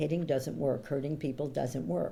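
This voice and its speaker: A woman with a very deep, low pitch and a dark, mellow tone speaks at a fairly slow pace with vocal fry. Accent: New York. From New York, Brooklyn. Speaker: coach and author. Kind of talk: interview conversation.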